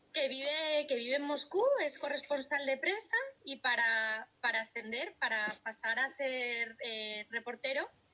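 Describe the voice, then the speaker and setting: At a fairly slow pace, a raised, projected voice with ordinary pitch variation is heard against noticeable background noise. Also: woman, high pitch for a woman. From Spain, Valladolid (Castile). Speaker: speech therapist. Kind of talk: interview conversation.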